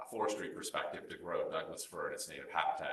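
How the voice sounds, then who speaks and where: Room echo can be heard around the speaker. He is a man with an American accent. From California (Santa Barbara). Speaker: architect. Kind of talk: lecture. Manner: unscripted, with frequent fillers.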